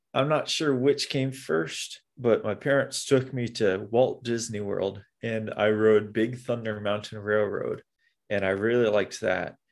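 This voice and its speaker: Against a quiet background, a man with an American accent and an unremarkable speaking voice talks at a fairly slow pace, medium pitch and fairly even intonation. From Nebraska, Omaha. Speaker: amusement park ride operator. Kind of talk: casual chat.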